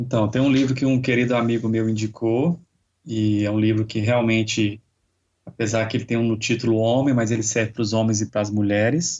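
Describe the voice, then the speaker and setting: Speaking at a fairly quick pace, a man with an ordinary speaking voice keeps a medium pitch, fairly even intonation and very even loudness. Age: 40s. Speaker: yoga instructor. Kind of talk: interview.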